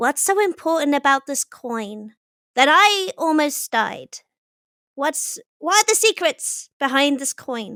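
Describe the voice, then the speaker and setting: Using a put-on character voice, a woman pitches high. She moves at a fairly slow pace. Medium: actual play.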